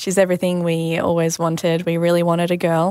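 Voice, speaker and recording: In a very clean recording with a silent background, a woman speaks in an Australian accent. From Australia, Sydney. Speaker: mother sharing birth story. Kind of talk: personal testimony interview.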